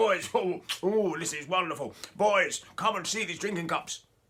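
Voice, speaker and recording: In a put-on character voice, a man speaks high-pitched, raised and projected, at a moderate pace with fairly even intonation. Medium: read story.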